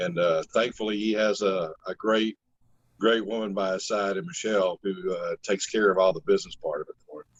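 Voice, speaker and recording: A man talks at a fairly quick pace in a fairly low pitch with ordinary pitch variation. It is a plain, everyday voice, with dry, close sound and no echo. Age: 60s. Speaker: singer-songwriter. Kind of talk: interview.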